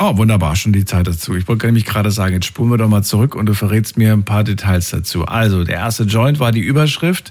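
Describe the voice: The man's voice sits at a fairly low pitch, with a slightly mellow tone and ordinary pitch variation. He moves at a fast pace with few pauses.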